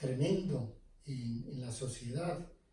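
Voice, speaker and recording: A man with a dark, mellow tone speaks at a very slow pace, somewhat breathy, with audible room echo. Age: 70s. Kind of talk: interview. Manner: hesitant with fillers.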